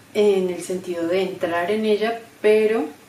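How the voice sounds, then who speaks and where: At a very slow pace, a woman speaks in a medium pitch with monotone, flat intonation, with audible room echo and noticeable background noise. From Colombia, Bogotá. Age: 30s. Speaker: graphic designer and embroidery creator. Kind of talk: testimony. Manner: hesitant, many fillers.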